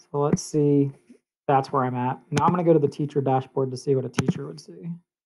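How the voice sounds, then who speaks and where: Big swings in loudness and ordinary pitch variation mark this fairly quick delivery, heard over noticeable background noise. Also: man, fairly high pitch for a man. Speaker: educator giving a software tutorial. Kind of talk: tutorial. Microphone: webcam.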